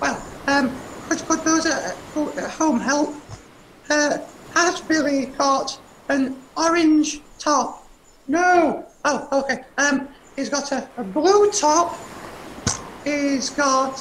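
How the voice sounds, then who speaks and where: High-pitched and cartoonish, the character voice moves at a very slow pace broken by long, frequent pauses. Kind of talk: children's puppet show. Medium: puppet show. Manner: anxious, chatty.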